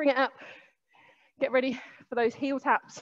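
A woman speaks at a very slow pace in a high voice. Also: quiet background. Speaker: fitness instructor. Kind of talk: workout class instruction. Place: gym. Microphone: headset.

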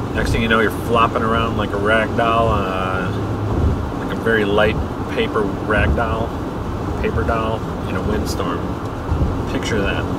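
A man at a moderate pace with long, frequent pauses amid loud background noise. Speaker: driver vlogger. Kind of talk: casual vlog chat. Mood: jokey, relaxed. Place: car. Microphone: camera far.

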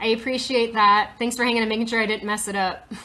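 A woman's fairly high, bright and sharp voice with an American accent. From rural Nevada, US West. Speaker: self-taught metalsmith. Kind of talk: live-stream tutorial. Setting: workshop, Instagram live video. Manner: casual, many filler words. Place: workshop. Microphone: phone near.

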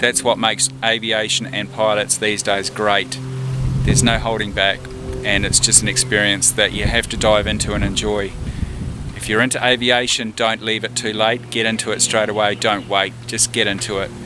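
A man speaking at a moderate pace with ordinary pitch variation, noticeable background noise, and a dry sound with no echo. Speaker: pilot vlogger. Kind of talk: casual vlog chat. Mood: relaxed, reminiscing. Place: open country. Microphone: phone near.

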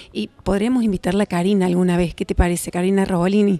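The tone is dark and mellow. Delivery is very fast, with fairly even intonation. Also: woman, dry sound with no echo. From Argentina. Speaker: TV show host. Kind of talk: interview. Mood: warm, chatty. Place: hall. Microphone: handheld.

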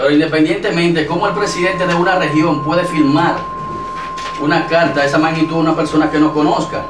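A male voice talks very fast, with noticeable noise in the background. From Dominican Republic, Santo Domingo. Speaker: local political candidate. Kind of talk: TV interview. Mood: defensive, arguing his case. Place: studio.

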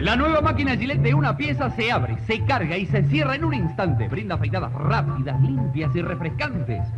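A man speaks fairly quickly as clear music plays in the background. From Argentina. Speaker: commercial announcer. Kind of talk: vintage radio commercial announcer read. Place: studio. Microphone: old recording.

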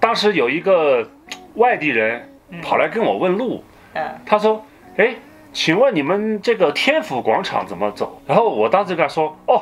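Over faint background music, a man's high-pitched voice swings very widely in pitch. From Sichuan, China. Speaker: co-host. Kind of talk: casual podcast chat. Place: home room.

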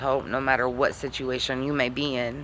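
Light background noise accompanies a woman whose very deep, low voice keeps fairly even intonation. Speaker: vlogger reciting her own poem. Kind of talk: casual talk to camera. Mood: earnest, reflective. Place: home room. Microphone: phone near.

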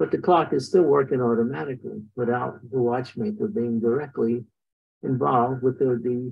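At a moderate pace, a man speaks with medium pitch and fairly even intonation, his voice carrying a slightly husky edge and vocal fry.

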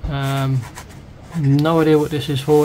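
Noticeable background noise sits behind a man's fairly high voice. He speaks in a flat monotone. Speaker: scale model kit reviewer. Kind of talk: product review tutorial. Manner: casual, rambling.

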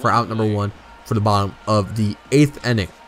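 A man speaks fairly quickly in an enthusiastic tone over noticeable background noise. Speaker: video game YouTuber. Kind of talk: live sports commentary over gameplay, play-by-play of pitches and counts. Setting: gaming video voiceover, playing a baseball game. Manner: steady play-by-play delivery, calling counts and strikeouts, casual and a bit halting; enthusiastic and fan-like, praising the pitcher.

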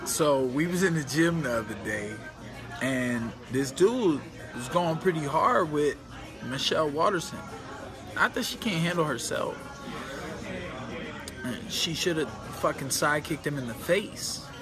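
Through noticeable background noise, a man talks at a fairly slow pace with lively intonation and long, frequent pauses. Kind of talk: casual vlog chat. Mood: amused, storytelling. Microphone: phone near.

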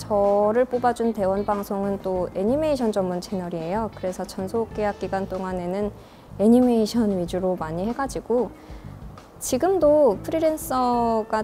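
A woman talks with ordinary pitch variation while faint music plays behind her. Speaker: voice actor. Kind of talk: interview answer. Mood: warm, smiling. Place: classroom.

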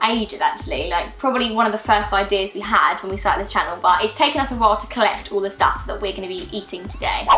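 Over clear music in the background, a woman speaks at a very fast pace. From British. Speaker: vlogger. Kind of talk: casual talk to camera. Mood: mildly disgusted, playful. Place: home room.

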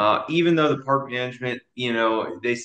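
Fairly quick and with lively intonation, the speaker uses an American accent against a quiet background with audible room echo. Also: man. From Dallas, Texas. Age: 20s. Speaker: army drill sergeant and real estate investor. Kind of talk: interview answer. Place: home room. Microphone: video call.

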